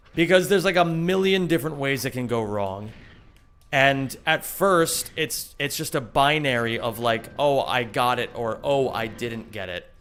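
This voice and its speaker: A man's ordinary speaking voice at medium pitch, with an American accent, lively intonation and a moderate pace. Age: 30s. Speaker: video game streamer and speedrunner. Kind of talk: live stream chat while playing. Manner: casual, conversational.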